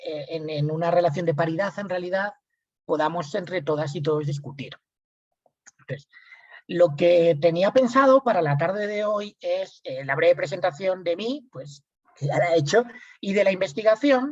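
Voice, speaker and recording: With a Spanish accent, a man talks in a high pitch at a moderate pace. His intonation is lively. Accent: Spanish (Spain). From Spain. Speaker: lawyer and researcher. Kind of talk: lecture.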